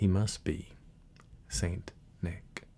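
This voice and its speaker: Soft-spoken and somewhat breathy, a man talks with a very deep, low pitch and a dark, mellow tone. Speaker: ASMR creator. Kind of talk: poetry reading.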